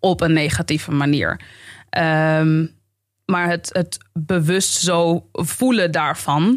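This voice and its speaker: Against a quiet background, a woman speaks at a very slow pace with long, frequent pauses, a fairly low pitch, ordinary pitch variation and very even loudness. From Amsterdam Bijlmer, Netherlands; Netherlands. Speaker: YouTuber and comedian; podcast guest, comedian. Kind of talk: podcast interview. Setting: studio. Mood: earnest, reflective. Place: studio. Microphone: studio mic.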